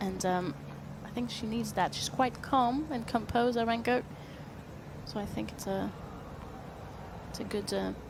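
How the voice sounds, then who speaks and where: A woman's voice in a room with audible echo, broken by long, frequent pauses. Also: moderate pace. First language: French. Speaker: tennis commentator. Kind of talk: live commentary.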